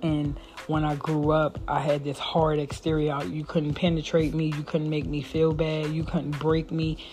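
This woman speaks at a moderate pace in a very deep, low pitch with monotone, flat intonation, and noticeable background noise can be heard. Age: 40s. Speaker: podcast host. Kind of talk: solo podcast monologue.

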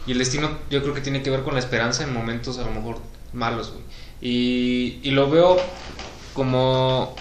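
A man with a Mexican accent speaks at a moderate pace and medium pitch, his intonation monotone and flat. Noticeable background noise and audible room echo are present. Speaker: podcast co-host. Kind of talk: casual chat.

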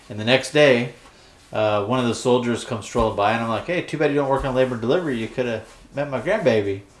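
A man rattles along at a very fast pace, his medium pitch showing ordinary variation, with noticeable background noise behind him. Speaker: podcast co-host. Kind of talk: casual chat. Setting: mostly empty room at a new farm property. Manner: loud. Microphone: echoey room.

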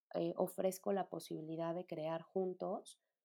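A woman speaks at a fairly slow pace with a Mexican accent. Her tone is dark and mellow. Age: 30s. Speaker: podcast host, psychologist. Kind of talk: solo podcast monologue. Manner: hesitant, many fillers.

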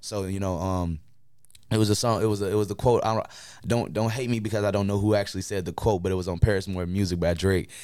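Very fast speech from a man with an American accent, fairly low pitch and fairly even intonation. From Chicago, Illinois. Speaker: rapper. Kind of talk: casual interview chat. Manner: halting, many fillers and repeats.

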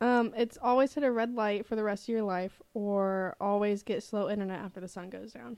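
A woman with an unremarkable speaking voice, medium in pitch with ordinary variation, fairly quick with hardly any pauses, and big swings in loudness. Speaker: podcast co-host, nursing student. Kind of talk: casual chat.

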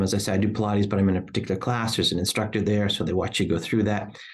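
A man speaks at a very fast pace and a fairly low pitch. His intonation is monotone and flat. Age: 60s. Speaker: podcast host. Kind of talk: interview chat.

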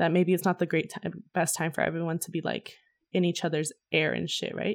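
A woman talks with a fairly low pitch. Her pace is fairly quick. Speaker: podcast host. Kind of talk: casual chat. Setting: video call. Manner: animated.

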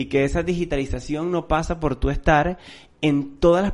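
A man talks with a normal speaking voice at a moderate pace. His pitch is fairly high. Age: 30s. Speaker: marketing podcast co-host. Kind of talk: casual chat. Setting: recording room.

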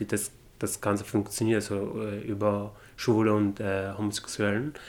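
Speaking in a fairly low pitch, a man keeps his intonation fairly even. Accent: Arabic. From Syria, Damascus. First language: Arabic (speaking German). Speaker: refugee interviewee. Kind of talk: interview testimony. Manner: halting.

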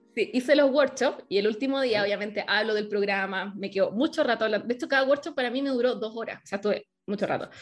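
A woman's fairly high voice at a very fast pace, hardly any pauses, ordinary pitch variation, music behind her. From Chile. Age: 30s. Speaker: online business coach. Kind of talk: interview.

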